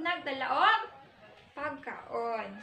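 Very slowly and in a raised, projected voice, a woman with a Philippine accent speaks at high pitch in a bright, sharp tone, with audible room echo and light background noise. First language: Cebuano (speaking Tagalog). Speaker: teacher. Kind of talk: classroom storytelling, reading aloud and translating. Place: classroom. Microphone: camera far.

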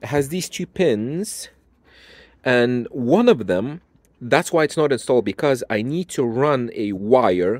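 A man speaks at a fairly slow pace. The recording is very clean, with a silent background. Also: slightly mellow tone.

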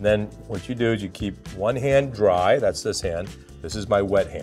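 A man's voice with faint music in the background. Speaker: chef host. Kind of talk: cooking tutorial. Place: studio.

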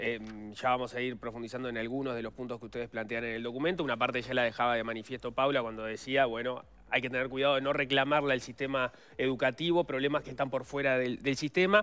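Bright, sharp tone in a Rioplatense accent, with fairly even intonation at a very fast pace. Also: man. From Uruguay. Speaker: radio host. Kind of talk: interview. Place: studio.

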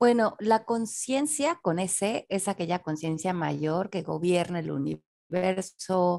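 A woman speaks in a dark, mellow tone over a quiet background. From Mexico City. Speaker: self-development author and teacher. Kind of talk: interview conversation.

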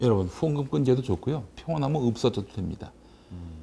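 Somewhat breathy and dark, mellow in tone, a man of medium pitch speaks with very wide pitch swings. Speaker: nonprofit chairman and commentator; commentator. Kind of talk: panel discussion. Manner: animated. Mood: animated, critical. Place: studio. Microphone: lapel.

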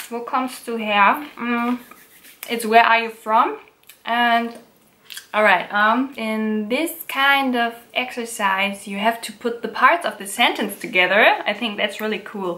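A woman speaks at a fairly slow pace in a fairly high voice, with ordinary pitch variation and big swings in loudness. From Germany. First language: German. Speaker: YouTuber. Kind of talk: tutorial. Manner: halting. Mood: relaxed, playful. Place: home room.

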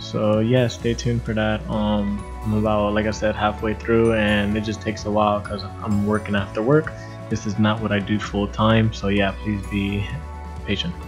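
A man's fairly low voice over clear background music. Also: moderate pace. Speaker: DIY home renovator. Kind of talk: DIY tutorial voiceover. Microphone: webcam.

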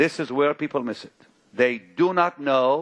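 The background stays quiet. The speaker is a man. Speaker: preacher. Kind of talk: sermon. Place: church. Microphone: headset.

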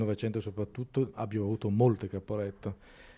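Speaking at a fairly quick pace, a man uses a fairly low pitch and a dark, mellow tone with fairly even intonation. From Italy. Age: 60s. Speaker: film director; interviewee. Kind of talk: interview. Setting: film festival. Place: hall. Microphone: handheld.

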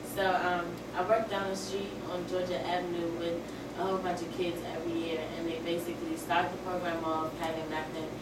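A woman talks at a fairly quick pace through loud background noise and audible room echo. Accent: American. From Washington, D.C. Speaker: student. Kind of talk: audience question. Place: classroom. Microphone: camera far.

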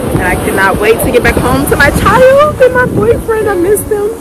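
Loud background noise runs under a woman speaking at a moderate pace in a dry setting with no echo. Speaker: travel vlogger. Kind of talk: casual vlog chat. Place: beach. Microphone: phone near.

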